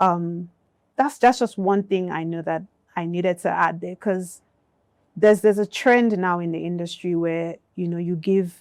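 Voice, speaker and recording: In a very clean recording with a silent background, a woman talks at a moderate pace, her fairly low pitch varying in an ordinary way. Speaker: music industry executive. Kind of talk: panel discussion. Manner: soft-spoken, not loud.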